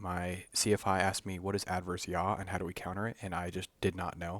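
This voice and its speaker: A soft-spoken man talks at a fairly quick pace. The recording is very clean, with a silent background. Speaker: flight instructor candidate. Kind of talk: tutorial. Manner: casual. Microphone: mic held close to the mouth.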